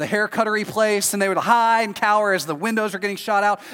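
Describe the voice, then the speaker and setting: Speaking with an American accent, a man has a high pitch and an animated tone. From Texas. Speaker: pastor. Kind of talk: sermon.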